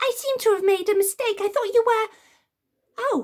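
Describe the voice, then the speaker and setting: A woman speaks at a moderate pace in a put-on character voice. Her pitch is extremely high and squeaky. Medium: read story. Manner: excitable.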